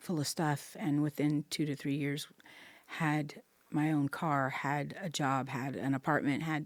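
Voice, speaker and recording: Over a silent background in a very clean recording, a woman with an American accent speaks at a fairly slow pace in a very deep, low pitch with monotone, flat intonation. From Central Texas (Bastrop). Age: 60s. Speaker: homelessness advocate, peer support specialist. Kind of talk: interview, personal testimony. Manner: hesitant, many fillers.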